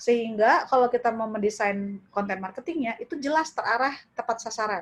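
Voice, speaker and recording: Speaking at a fairly quick pace, a woman talks in a high-pitched voice. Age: 30s. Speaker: lecturer, e-commerce workshop speaker. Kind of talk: webinar lecture. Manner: casual, conversational.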